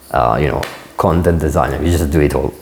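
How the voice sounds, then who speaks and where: Noticeable background noise sits behind a man speaking in a very deep, low voice. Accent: Italian. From Italy. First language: Italian. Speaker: designer and entrepreneur vlogger. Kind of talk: unscripted vlog to camera. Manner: casual, many filler words.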